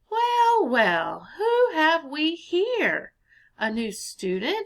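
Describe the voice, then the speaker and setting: A woman puts on a character voice, squeaky and loud at an extremely high pitch. She draws out her words at a very slow pace. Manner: jovial, welcoming.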